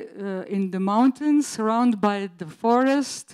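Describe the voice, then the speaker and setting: Fairly high-pitched and with a Slovene accent, a woman talks at a fairly slow pace. Her pitch varies in an ordinary way against a quiet background. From Slovenia. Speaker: teacher, school project coordinator; teacher. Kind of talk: conference presentation. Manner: halting, many fillers. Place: hall.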